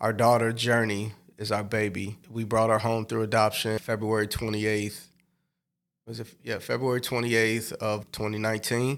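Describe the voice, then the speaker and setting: A man with an American accent, medium pitch and monotone, flat intonation at a moderate pace, in a very clean recording over a silent background. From US Midwest, South Side of Chicago. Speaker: pastor and musician. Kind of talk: interview conversation.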